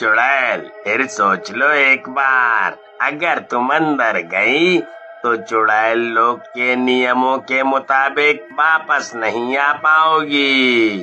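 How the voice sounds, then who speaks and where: Against clear music in the background, a man puts on a character voice at medium pitch and a very slow pace. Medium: read story. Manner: laughing, mocking.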